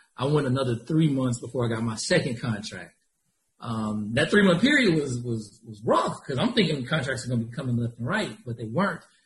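A man with an American accent talks at a fairly quick pace with lively intonation. His medium-pitched voice is somewhat breathy. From Georgia, US (small town near Atlanta). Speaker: staffing agency founder. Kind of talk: interview.

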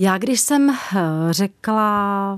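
Just a woman speaking, captured in a very clean recording against a silent background. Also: dry, close sound with no echo. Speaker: singer. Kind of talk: radio interview.

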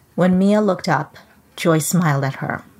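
This woman's voice sits fairly low in pitch and varies in an ordinary way. Noticeable background noise runs behind her. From Trinidad. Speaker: children's author. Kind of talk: reading aloud. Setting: video call from home office.

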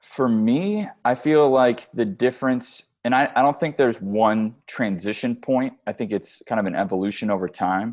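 A man with an American accent and a normal speaking voice talks at a medium pitch with ordinary pitch variation. He speaks with hardly any pauses against a quiet background. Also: moderate pace. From Chicago. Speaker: creative director and film producer. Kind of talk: interview. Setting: call.

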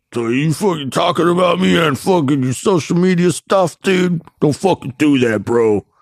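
Doing a put-on character voice, a man speaks in a Chicago Southwest Side accent. His pitch is fairly high, and his pace is moderate. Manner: aggressive, confrontational.

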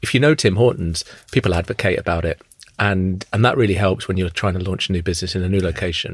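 A man with a southern English accent, a very deep, low pitch and a very fast pace. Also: ordinary pitch variation. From England, Luton. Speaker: food chain executive. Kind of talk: interview. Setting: studio. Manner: halting, many fillers.

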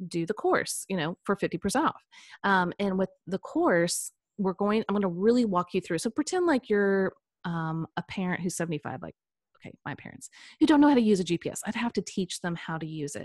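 A woman with an American accent at a medium pitch and moderate pace, with lively intonation and big swings in loudness, the sound dry and close with no echo on a very clean recording with a silent background. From US Midwest, Kansas City. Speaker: personality coach. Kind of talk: casual interview.

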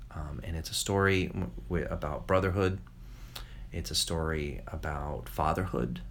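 A man with an American accent speaks at a moderate pace in a very deep, low voice, his intonation lively, with audible echo from the room. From New York, US. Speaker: children's novelist. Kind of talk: interview. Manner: halting, many repetitions.

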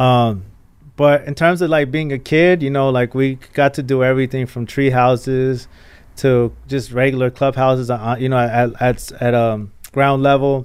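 Here is a man with an unremarkable speaking voice and a medium pitch. His intonation stays fairly even. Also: moderate pace. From Mexico, raised in Los Angeles area. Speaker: photographer and entrepreneur. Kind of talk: long-form interview.

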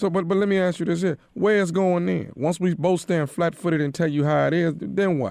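Pitched high for a man, this male voice keeps fairly even intonation and very even loudness. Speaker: caller. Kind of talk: tense phone confrontation.

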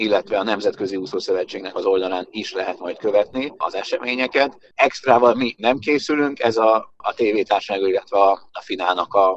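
A man is speaking. His pace is moderate. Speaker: event organizer. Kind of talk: radio interview.

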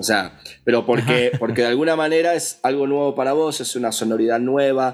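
With music in the background, a man with an Argentine accent speaks fairly quickly at medium pitch and with fairly even intonation. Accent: Argentine Spanish (voseo, che). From Argentina, Patagonia (Villa Regina). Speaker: audio engineer and music producer. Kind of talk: casual interview.

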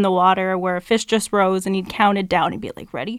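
With a western Canadian accent, a woman speaks at a medium pitch with fairly even intonation. The recording is very clean, with a silent background. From Canada, BC lower mainland (North Delta). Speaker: fly shop employee and fishing guide. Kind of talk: casual chat.

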